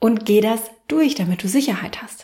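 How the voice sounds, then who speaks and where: A woman's fairly high, somewhat breathy voice, dark and mellow in tone, with lively intonation. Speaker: podcast host and self-marketing coach. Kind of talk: solo podcast tutorial.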